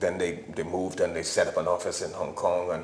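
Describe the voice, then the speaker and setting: The speaker here is male. His voice carries audible room echo. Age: 60s. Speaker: architect and artist. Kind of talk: interview. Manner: halting, many repetitions.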